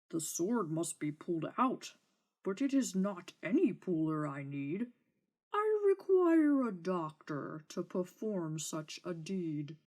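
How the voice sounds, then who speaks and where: In a put-on character voice that sounds female, the speech moves at a fairly slow pace. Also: medium pitch for a woman. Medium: read story. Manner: whiny, demanding.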